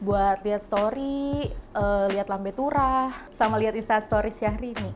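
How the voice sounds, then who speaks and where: Speaking at a fairly slow pace, a woman with a fairly high pitch and ordinary pitch variation has a normal speaking voice. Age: 20s. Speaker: marketing communications worker. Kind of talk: casual interview.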